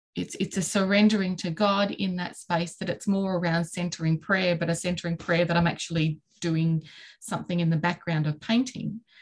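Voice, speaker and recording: A woman with a fairly low pitch and a somewhat breathy voice talks at a moderate pace with monotone, flat intonation. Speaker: podcast host. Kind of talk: casual chat.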